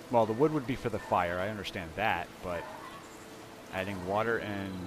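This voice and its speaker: A man talks at a moderate pace in a relaxed tone, with noticeable background noise behind him. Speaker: gaming video creator. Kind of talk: game tutorial commentary. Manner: halting, stuttering; casual, relaxed.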